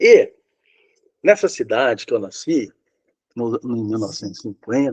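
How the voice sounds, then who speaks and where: A man speaks with very wide swings in pitch, the sound dry and close with no echo. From Brazil, São Paulo state (Rio Claro). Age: 70s. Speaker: retired professor. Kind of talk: oral history interview. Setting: video call. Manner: halting.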